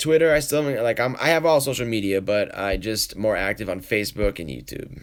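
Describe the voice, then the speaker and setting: Using an ordinary speaking voice, a man of medium pitch talks at a fairly quick pace with lively intonation and hardly any pauses. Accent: American. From New England, Boston, Massachusetts. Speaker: poker vlogger. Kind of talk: live stream Q&A, casual chat. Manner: casual, rambling with fillers.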